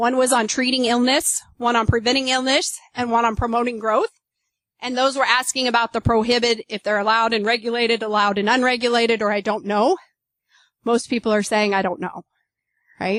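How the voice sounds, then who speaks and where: Against a quiet background, a woman with a fairly high pitch speaks. Her pace is fairly quick and her intonation fairly even. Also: dry, close sound with no echo. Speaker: agricultural economist, professor. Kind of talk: conference presentation. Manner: fast.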